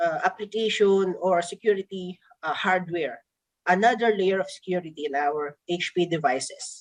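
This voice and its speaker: At a moderate pace, a woman speaks in a medium pitch with a Filipino accent. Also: ordinary pitch variation. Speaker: product presenter. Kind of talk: product presentation. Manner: halting.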